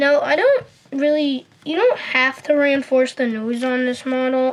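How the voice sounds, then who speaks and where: Fairly even intonation and a moderate pace carry through noticeable background noise. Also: woman. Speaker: paper airplane tutorial maker. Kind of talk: tutorial. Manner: hesitant, many fillers.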